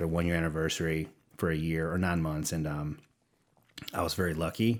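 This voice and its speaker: The speaker has a Southern US accent. The pace is very fast. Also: man. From Louisiana, Livingston Parish. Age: 40s. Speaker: creative executive and war veteran. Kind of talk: podcast interview. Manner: halting, many repeats.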